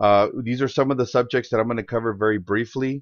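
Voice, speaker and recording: The man's intonation stays fairly even against a quiet background. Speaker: insurance sales trainer. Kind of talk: webinar presentation. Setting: conference call webinar. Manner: fast.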